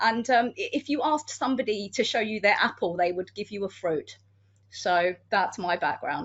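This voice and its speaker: A woman with a British accent talks at a moderate pace. Her pitch is fairly high and her intonation lively. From United Kingdom. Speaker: security manager and criminologist. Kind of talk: panel discussion.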